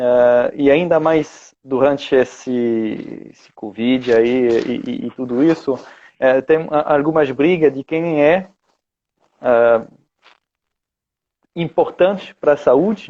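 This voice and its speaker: Speaking very slowly with long, frequent pauses, a man with a fairly high pitch shows ordinary pitch variation and big swings in loudness. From France. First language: French (speaking Portuguese). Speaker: osteopath and teacher. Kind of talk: video call interview. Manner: halting, many fillers.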